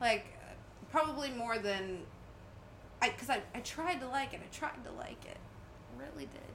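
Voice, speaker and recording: With lively intonation and a high pitch, a woman talks in long, frequent pauses and big swings in loudness, amid audible room echo and noticeable background noise. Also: moderate pace. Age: 30s. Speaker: podcast co-host. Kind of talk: casual film commentary chat.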